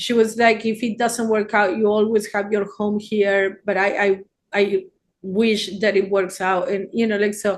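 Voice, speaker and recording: A fairly high-pitched woman with an Argentine accent at a moderate pace, against a quiet background. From Argentina. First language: Spanish. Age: 60s. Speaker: therapist. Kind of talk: casual chat.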